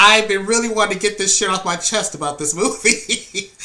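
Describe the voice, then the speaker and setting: A man's raised, projected voice sits at a high pitch and rises and falls with lively intonation. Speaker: movie reviewer. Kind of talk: casual review vlog. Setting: at home. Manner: casual, filler-heavy.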